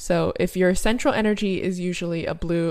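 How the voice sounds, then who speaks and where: A woman speaks with an animated tone at a moderate pace. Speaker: podcast co-host. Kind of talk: casual chat. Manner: animated, joking.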